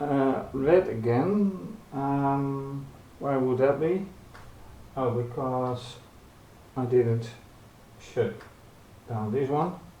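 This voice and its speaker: A soft-spoken man at a fairly high pitch, very slow pace with long, frequent pauses, ordinary pitch variation, and audible room echo. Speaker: hobbyist robotics youtuber. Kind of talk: tutorial. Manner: halting. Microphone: camera built-in mic.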